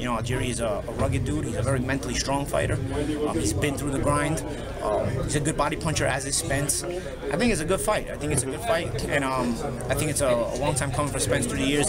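Loud background noise fills the clip as a man speaks at a very fast pace. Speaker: boxing commentator. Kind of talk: casual commentary. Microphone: phone near.

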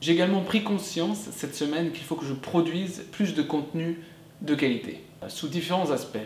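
A man with high pitch and ordinary pitch variation at a moderate pace, amid light background noise and audible room echo. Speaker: online business vlogger. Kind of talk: vlog monologue. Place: home room.

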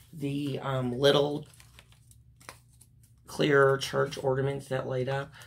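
In a room with audible echo, a woman speaks slowly with long, frequent pauses, her raspy, extremely low-pitched voice showing vocal fry and little pitch movement.

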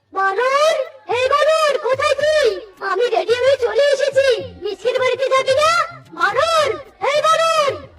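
This is a cartoonish character voice. It is pitched extremely high. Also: fairly slow pace. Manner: casual, teasing.

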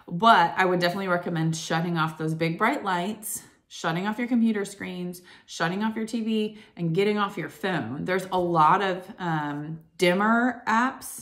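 Over a quiet background, a woman talks at a moderate pace with ordinary pitch variation. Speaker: wellness vlogger. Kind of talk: casual vlog chat. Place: home room. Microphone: phone near.

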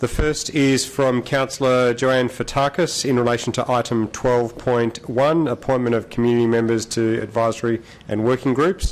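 The speaker keeps a moderate pace with hardly any pauses. Intonation is fairly even and loudness very even. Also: man. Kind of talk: formal reading of disclosures. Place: hall. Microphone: podium.

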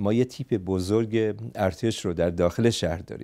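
A man speaks with a Kurdish accent in a dark, mellow tone at a moderate pace. His pitch variation is ordinary, and the background is quiet. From Iranian Kurdistan (Saqqez); Iranian Kurdistan. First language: Kurdish (speaking Persian). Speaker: psychotherapist and political activist; interview guest. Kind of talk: interview; interview answer. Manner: halting. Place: studio. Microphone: lapel.

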